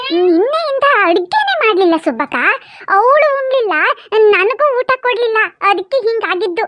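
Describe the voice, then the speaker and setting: A woman uses a cartoonish character voice at a fairly slow pace with very even loudness. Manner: whiny, self-excusing.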